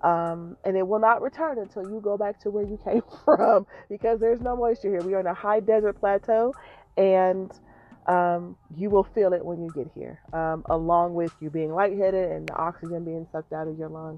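This is a plain, everyday voice with an American accent and ordinary pitch variation. It moves at a moderate pace with big swings in loudness. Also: woman, medium pitch for a woman. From Colorado, Denver. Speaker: small business owner and podcaster. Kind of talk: casual monologue. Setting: in a parked car.

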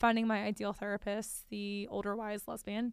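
A woman talks at a moderate pace, captured on a very clean recording with a silent background. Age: 20s. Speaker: podcast co-host in the legal industry. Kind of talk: casual chat.

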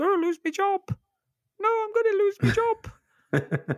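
Delivered at a moderate pace, this put-on character voice sits at an extremely high pitch. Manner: panicked, pleading.

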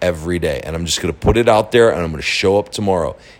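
Noticeable background noise sits behind a man speaking in a very deep, low pitch with fairly even intonation. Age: 40s. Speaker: online marketing podcaster. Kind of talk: casual monologue. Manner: casual, with fillers and repetitions.

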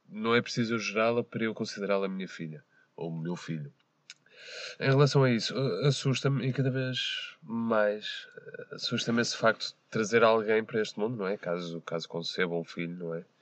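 This man's voice sits at a medium pitch with ordinary variation. He talks at a moderate pace. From Portugal, Porto area. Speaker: podcast guest. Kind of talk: casual chat. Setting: parked car.

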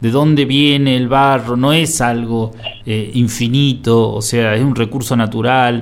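Amid audible room echo, a man speaks fairly slowly at medium pitch with fairly even intonation. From Buenos Aires, Argentina. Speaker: radio host. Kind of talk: community radio interview. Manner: halting.

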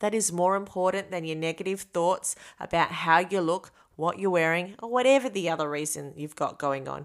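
Here is a woman with an unremarkable speaking voice, fairly low in pitch with ordinary variation, moving at a fairly quick pace. The recording is very clean with a silent background. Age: 40s. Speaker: podcast host. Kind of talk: personal reflection monologue.

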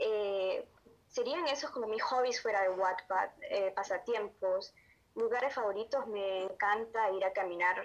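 In a plain, everyday voice, a woman speaks at a fairly slow pace and fairly high pitch, with very even loudness and ordinary pitch variation. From Honduras. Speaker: amateur writer. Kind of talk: interview.

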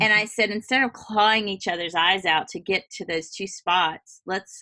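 The tone is bright and sharp, the pace fairly slow, with ordinary pitch variation and a dry, close sound with no echo. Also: woman. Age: 50s. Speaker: podcast host. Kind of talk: casual interview.

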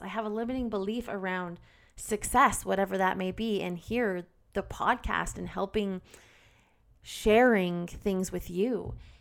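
A plain, everyday voice from a woman at medium pitch, fairly slow, with ordinary pitch variation, over a very clean recording with a silent background. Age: 30s. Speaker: podcast host. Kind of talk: solo self-help talk. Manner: candid, occasionally emotional.

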